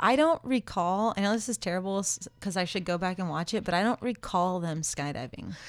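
A woman with an American accent, medium pitch and ordinary pitch variation at a fairly quick pace with hardly any pauses, on a very clean recording with a silent background. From California. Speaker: skydiving instructor. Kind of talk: casual chat. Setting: studio.

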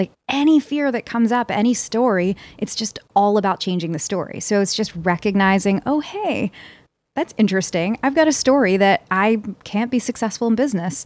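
With an American accent, a woman speaks at a fairly quick pace and medium pitch with lively intonation, in a very clean recording with a silent background. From Philadelphia, US. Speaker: success coach. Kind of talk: casual interview chat.

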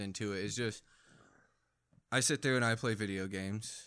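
In a normal speaking voice, a man talks at a fairly quick pace with medium pitch and ordinary pitch variation, on a very clean recording with a silent background. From Phoenix, Arizona, then North Dakota. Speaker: army veteran. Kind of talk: casual chat.

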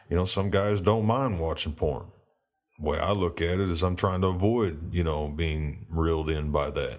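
A man with a very deep, low voice and an American accent, at a moderate pace with very even loudness, ordinary pitch variation and audible room echo. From United States. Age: 30s. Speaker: solo podcaster. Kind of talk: monologue. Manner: halting; passionate.

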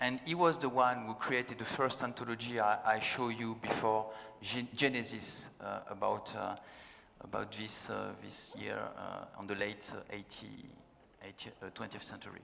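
With a French accent, a man of medium pitch speaks at a fairly slow pace, his intonation fairly even but his loudness swinging widely. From France. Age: 40s. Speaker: science fiction writer, panel moderator. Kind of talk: panel discussion. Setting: stage with audience. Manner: halting.

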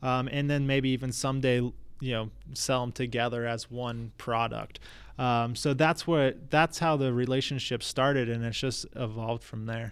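A man's normal speaking voice with an American accent, medium pitch, fairly even intonation and a moderate pace, on a very clean recording with a silent background. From Florida, US. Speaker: tech startup founder. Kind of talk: casual interview.

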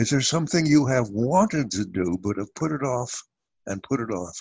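A somewhat breathy man with lively intonation at a moderate pace, in a dry, close sound with no echo and a quiet background. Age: 80s. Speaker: author and family therapist. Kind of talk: interview, conversational.

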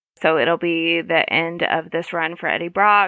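A woman with an unremarkable speaking voice, fairly low in pitch and fairly even in intonation. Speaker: podcast co-host. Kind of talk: casual chat.

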